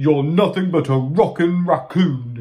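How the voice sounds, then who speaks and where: Using a put-on character voice, a man speaks with a fairly high pitch at a fairly slow pace. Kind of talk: storybook read-aloud. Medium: read story. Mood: sulky, insulting.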